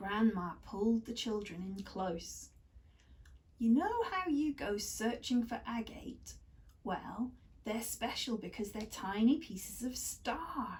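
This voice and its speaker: Over noticeable background noise, a woman with a fairly high pitch speaks at a very slow pace with lively intonation. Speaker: kindergarten teacher. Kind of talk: storybook reading aloud.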